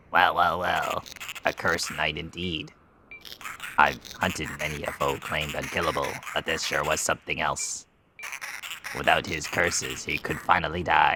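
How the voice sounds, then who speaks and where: Using a put-on character voice with a very deep, low pitch, a man speaks at a moderate pace with long, frequent pauses. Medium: game stream.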